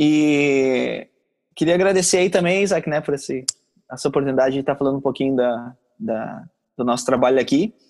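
With a plain, everyday voice, a man talks at a fairly high pitch, moving at a moderate pace with ordinary pitch variation. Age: 30s. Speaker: missionary. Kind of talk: casual interview.

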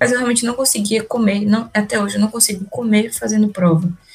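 Fairly high in pitch and somewhat breathy, a woman speaks with ordinary pitch variation. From Salvador, Bahia, Brazil. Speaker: medical student. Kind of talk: casual chat.

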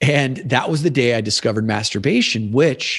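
Over a quiet background, a man talks at a moderate pace and medium pitch in an unremarkable speaking voice. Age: 40s. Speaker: podcast host and men's coach. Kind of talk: casual chat.

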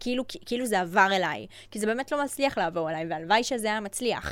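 Recorded very cleanly against a silent background, a woman with a fairly high pitch talks at a very fast pace. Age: 20s. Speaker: digital agency owner and influencer. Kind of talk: casual interview chat.

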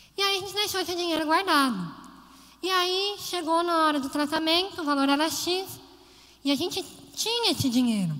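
In a room with audible echo, a woman with an extremely high pitch and ordinary pitch variation projects her raised voice at a moderate pace, with long, frequent pauses. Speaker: lay preacher. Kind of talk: sermon.

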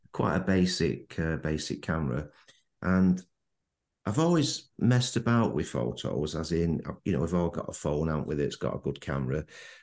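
A man speaks with a Manchester accent and a very deep, low pitch. His intonation is lively and his pace moderate. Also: quiet background. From Manchester, England. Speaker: landscape photographer. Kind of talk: casual interview chat. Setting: remote call.

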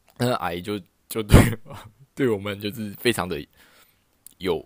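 Recorded very cleanly against a silent background, a man speaks in an animated tone. His pitch sits fairly low and varies in an ordinary way. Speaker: podcast host. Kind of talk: casual solo monologue. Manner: animated, lots of laughter and filler.

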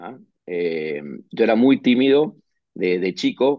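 A man speaks with an Argentine accent. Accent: Rioplatense Argentine Spanish. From Argentina, Buenos Aires. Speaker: management consultant. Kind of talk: interview.

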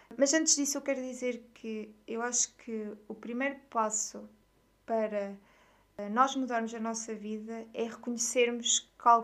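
A woman talks at a moderate pace, her voice pitched fairly high. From Portugal, Aveiro. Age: 20s. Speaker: podcast host, wellness content creator. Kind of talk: personal monologue.

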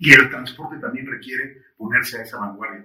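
This man talks at a fairly quick pace in a medium pitch, his tone bright and sharp and his pitch varying in an ordinary way. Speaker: podcast host. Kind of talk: interview. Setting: studio.

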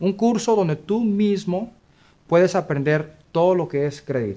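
A man is speaking. His voice has a dark, mellow tone. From US Midwest, Kansas City. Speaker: credit repair business owner. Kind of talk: interview.

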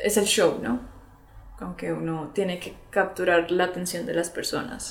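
The woman's voice is fairly low in pitch, with ordinary pitch variation and big swings in loudness at a fairly slow pace. Noticeable background noise runs under her speech. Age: 20s. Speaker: singer and psychologist. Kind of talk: casual interview.

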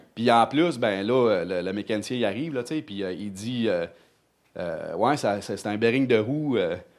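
A man at a very slow pace and medium pitch, with ordinary pitch variation and audible room echo. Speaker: churchgoer. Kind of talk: testimony. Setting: church. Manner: animated.

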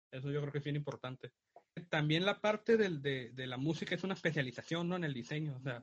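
Talking at a very fast pace, a man with a fairly high pitch sounds somewhat breathy, his pitch varying in an ordinary way. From Mexico, Tijuana. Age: 20s. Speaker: graphic designer and podcast co-host. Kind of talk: casual chat.

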